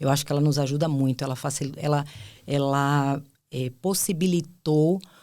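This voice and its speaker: At a moderate pace, a woman with a very deep, low pitch and a dark, mellow tone speaks with fairly even intonation. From Bahia, Brazil (Ilhéus, southern Bahia). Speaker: HR executive and psychologist. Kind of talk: podcast interview.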